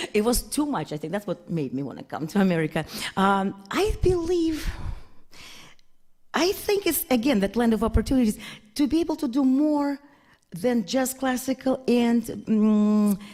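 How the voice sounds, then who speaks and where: Speaking with a Russian accent at a high pitch, a woman swings very widely in pitch in a dark, mellow tone, moving at a moderate pace with long, frequent pauses on a very clean recording with a silent background. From Russia, Saint Petersburg. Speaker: concert pianist. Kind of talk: casual interview.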